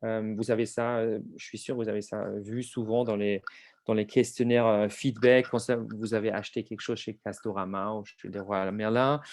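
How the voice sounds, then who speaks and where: At a moderate pace, a man talks in a fairly low voice. His delivery stays monotone and flat. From outside France. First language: not French (speaking French). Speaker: HR survey software presenter. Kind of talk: webinar presentation. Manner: hesitant, many fillers.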